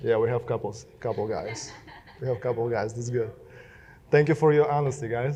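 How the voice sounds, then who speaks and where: Man with a Russian accent, ordinary pitch variation and audible room echo. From Belarus. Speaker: social media marketer. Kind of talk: keynote speech. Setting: stage with audience.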